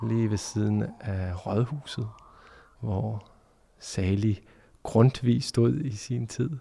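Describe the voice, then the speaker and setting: A man's somewhat breathy voice with a dark, mellow tone and ordinary pitch variation, at a very slow pace with long, frequent pauses, in a very clean recording with a silent background. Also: fairly low pitch for a man. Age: 30s. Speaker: journalist and podcast host. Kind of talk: interview conversation. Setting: empty church.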